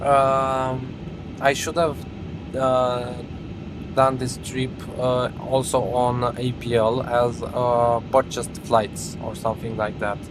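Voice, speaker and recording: Over music in the background and with audible room echo, a man with a Romanian accent speaks very slowly at medium pitch, with fairly even intonation and long, frequent pauses. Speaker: flight simulator live streamer. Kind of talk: casual live-stream chat and flight commentary. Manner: hesitant, many fillers.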